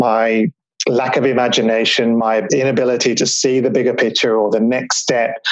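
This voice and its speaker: A man speaks in a Melbourne accent at a moderate pace and medium pitch. His intonation is flat and monotone, and his loudness stays very even. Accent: Australian (Melbourne). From Melbourne, Australia. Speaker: business mastermind founder. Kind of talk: interview conversation.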